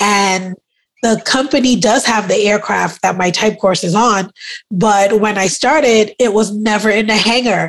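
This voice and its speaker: At a fairly slow pace, a woman with a fairly high pitch keeps her intonation fairly even and her loudness very even. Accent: slight New York. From Brooklyn, New York (born in Trinidad). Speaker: aircraft maintenance apprentice. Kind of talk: casual chat.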